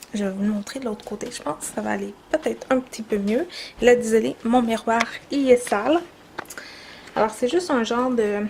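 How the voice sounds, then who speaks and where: A woman's fairly high voice with a Quebec accent, ordinary pitch variation and noticeable background noise. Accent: Québécois French. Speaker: beauty vlogger. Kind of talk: makeup tutorial vlog. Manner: casual, hesitant with many fillers.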